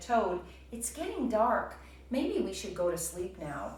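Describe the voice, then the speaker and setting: Slight echo surrounds a woman doing a put-on character voice at a medium pitch and a fairly slow pace. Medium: read story. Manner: calm, gentle.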